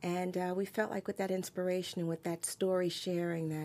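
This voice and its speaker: With a New York accent, a woman speaks at a very fast pace in a fairly low pitch. Her tone is dark and mellow, and her intonation stays monotone and flat. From New York City (Queens). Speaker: entrepreneur. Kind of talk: interview. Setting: studio.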